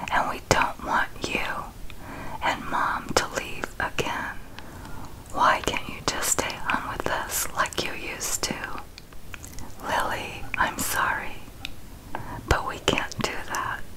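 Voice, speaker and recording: Someone is whispering at a very slow pace with long, frequent pauses. Noticeable background noise is present. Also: woman. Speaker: ASMR video creator. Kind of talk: whispered story reading. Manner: whispered, soft.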